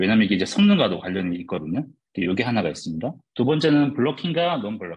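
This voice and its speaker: The man's pitch moves through very wide swings. Vocal fry runs through his speech. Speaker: software developer giving guest lecture. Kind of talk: lecture. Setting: online video lecture. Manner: tends to speak fast.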